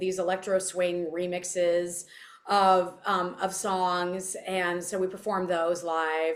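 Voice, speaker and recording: This is a woman speaking. She has a Californian accent. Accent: Californian American. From Southern California. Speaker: singer. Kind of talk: interview.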